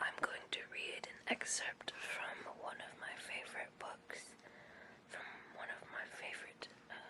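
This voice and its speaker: Someone whispers at a fairly slow pace. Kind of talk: casual talk to camera. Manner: whispered.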